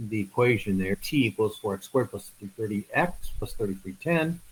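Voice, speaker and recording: Somewhat breathy man at medium pitch. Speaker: math instructor. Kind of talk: online lecture. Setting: online video class. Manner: hesitant with fillers; fast.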